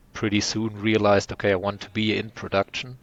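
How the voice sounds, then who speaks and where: A man talks in a fairly low pitch. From southern Germany. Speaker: rum producer. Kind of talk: interview. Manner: halting.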